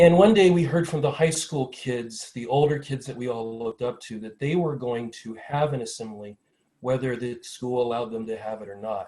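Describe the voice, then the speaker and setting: This man has a dark, mellow tone, a medium pitch and an American accent, and his loudness swings widely. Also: ordinary pitch variation. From US Midwest, small-town Ohio. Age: 60s. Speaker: panelist. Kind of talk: personal testimony at a panel. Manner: fast.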